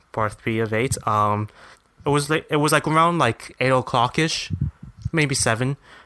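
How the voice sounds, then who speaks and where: A man's normal speaking voice, medium in pitch, at a moderate pace with ordinary pitch variation. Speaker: temporary co-host. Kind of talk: casual chat podcast banter.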